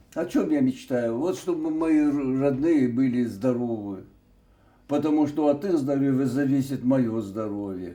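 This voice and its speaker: A man with a dark, mellow tone and medium pitch speaks at a fairly slow pace with ordinary pitch variation, and audible room echo surrounds his voice. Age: 80s+. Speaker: retired TV announcer. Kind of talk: interview. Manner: halting, with many hesitations.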